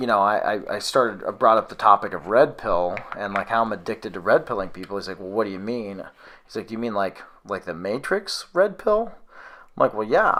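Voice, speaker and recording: The man talks at a fairly quick pace. His loudness swings in a big way. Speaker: conspiracy video host. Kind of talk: casual conversation.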